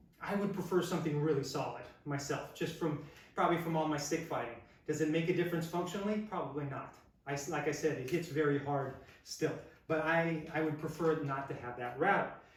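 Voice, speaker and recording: A man's fairly high voice at a fairly quick pace, fairly even in intonation, amid noticeable background noise and audible room echo. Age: 60s. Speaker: martial arts instructor. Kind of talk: product review tutorial. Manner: casual, thinking aloud.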